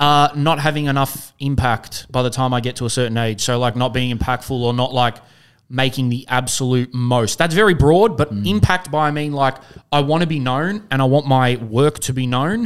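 Speaking in an Australian accent, a man uses a medium pitch and ordinary pitch variation at a moderate pace. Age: 20s. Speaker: podcast host. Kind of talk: casual chat.

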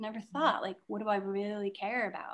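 This woman's voice sits at a medium pitch. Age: 40s. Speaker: theater maker. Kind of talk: casual chat. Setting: video call.

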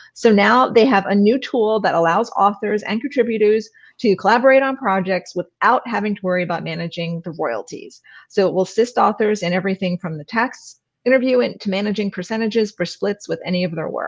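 A woman with a plain, everyday voice talks at a fairly quick pace and medium pitch, with ordinary pitch variation. The background is quiet. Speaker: author and co-host. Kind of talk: casual interview chat. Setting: online livestream.

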